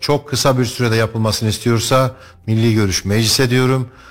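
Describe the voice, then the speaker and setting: A man at a moderate pace with monotone, flat intonation. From Turkey, Kayseri. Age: 40s. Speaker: parliamentary candidate. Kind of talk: radio interview.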